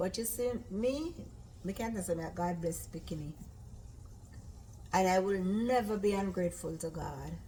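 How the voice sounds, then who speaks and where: The voice moves through an ordinary range of pitch at a moderate pace. Some room echo can be heard. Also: woman. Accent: Jamaican. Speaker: cooking channel host. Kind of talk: casual chat. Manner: loud.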